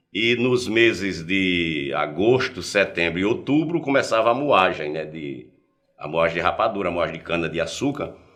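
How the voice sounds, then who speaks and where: A man speaks at a moderate pace with a very deep, low pitch. His pitch swings very widely. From Paraíba backlands, Brazil. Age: 60s. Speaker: journalist. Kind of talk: interview, personal life story.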